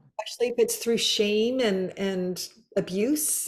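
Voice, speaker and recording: A normal speaking voice at a moderate pace, recorded very cleanly against a silent background. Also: woman. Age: 60s. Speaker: podcast host. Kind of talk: casual interview chat.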